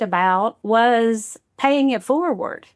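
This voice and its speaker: A woman's high-pitched voice with a Kentucky accent. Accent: Kentucky Southern US. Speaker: podcast host. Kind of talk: podcast interview.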